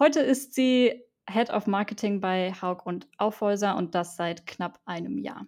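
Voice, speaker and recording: A normal speaking voice from a woman at medium pitch, fairly slow pace, and ordinary pitch variation. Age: 20s. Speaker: student podcast host. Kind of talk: interview.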